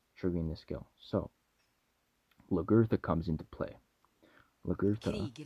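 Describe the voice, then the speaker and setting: This man has a very deep, low pitch. His tone is dark and mellow. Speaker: gaming YouTuber. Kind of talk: game review commentary. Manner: fast; animated.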